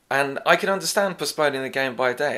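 A man with an English accent. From England. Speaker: podcast host. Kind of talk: casual chat. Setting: pub.

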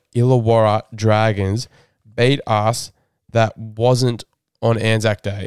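At a very slow pace, a man talks with an Australian accent in a dry, close sound with no echo. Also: very clean recording, silent background. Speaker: rugby league fan podcast host. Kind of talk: casual chat. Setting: studio.

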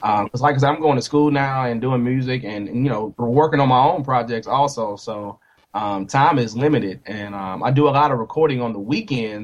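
With an American accent and an unremarkable speaking voice, a man talks at a fairly quick pace and medium pitch, his pitch variation ordinary. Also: hardly any pauses. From US, army brat; mostly Nashville, Tennessee. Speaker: musician, former air force serviceman. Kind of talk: casual interview chat.

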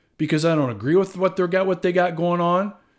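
The recording is very clean with a silent background, capturing a man's high-pitched voice. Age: 50s. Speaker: podcast host, real estate investor. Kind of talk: solo monologue podcast. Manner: casual, filler-heavy.

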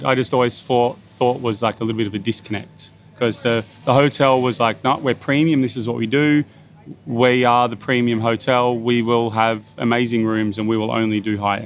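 A man with an Australian accent and a medium pitch talks at a moderate pace with fairly even intonation over noticeable background noise. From Bathurst, New South Wales, Australia. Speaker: executive chef. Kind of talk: casual interview. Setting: outdoors at a beachside restaurant.

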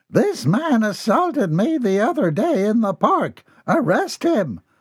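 Using a put-on character voice, a man speaks fairly slowly at a high pitch, with very wide pitch swings and very even loudness. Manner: indignant shouting.

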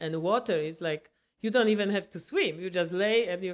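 On a very clean recording with a silent background, a woman with a Polish accent talks at a fairly low pitch with ordinary pitch variation. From Poland. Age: 70s. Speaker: retired market baker and amateur photographer. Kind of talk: casual interview. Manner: animated.

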